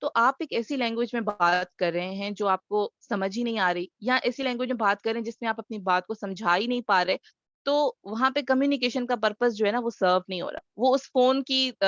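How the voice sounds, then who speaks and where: Recorded dry and close with no echo against a quiet background, a woman with a Sindhi accent uses a fairly high pitch with ordinary variation. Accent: Sindhi-accented Urdu. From Sindh, Pakistan. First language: Sindhi (speaking Hindi). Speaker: communication trainer. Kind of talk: webinar talk. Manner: hesitant, frequent fillers.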